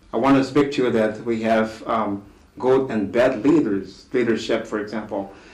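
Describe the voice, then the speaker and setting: Audible room echo surrounds this man's voice. He speaks at a medium pitch with fairly even intonation. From DR Congo. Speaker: discussion guest on leadership. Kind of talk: talk show discussion. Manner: slow, deliberate; halting.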